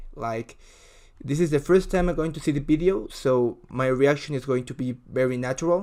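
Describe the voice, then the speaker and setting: A man's fairly high voice, dark and mellow in tone, at a moderate pace with ordinary pitch variation. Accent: Spanish. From Ecuador. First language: Spanish. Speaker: video reactor. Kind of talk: casual reaction commentary. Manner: halting, with many fillers.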